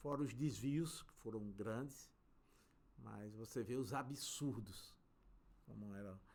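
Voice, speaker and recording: The speech is very slow, broken by long, frequent pauses, with big swings in loudness, ordinary pitch variation and audible room echo. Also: man, medium pitch for a man. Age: 60s. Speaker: civil engineer, construction company director. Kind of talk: interview conversation.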